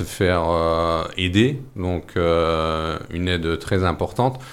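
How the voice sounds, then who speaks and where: A man talks with a very deep, low pitch, varying it in an ordinary way. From northern France, mining basin. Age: 40s. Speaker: singer and theatre company leader. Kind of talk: radio interview.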